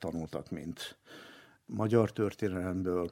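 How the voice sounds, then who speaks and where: A man at a very slow pace, with ordinary pitch variation, in a dry, close recording with no echo and a very clean, silent background. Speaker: retired radio journalist and translator. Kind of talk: interview reminiscence.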